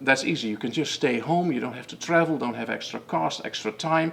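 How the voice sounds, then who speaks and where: Speaking with a strong Dutch accent, a man keeps a moderate pace and ordinary pitch variation. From Netherlands. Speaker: method founder and coach. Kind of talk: webinar presentation. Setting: online webinar. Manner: halting, many fillers and repetitions.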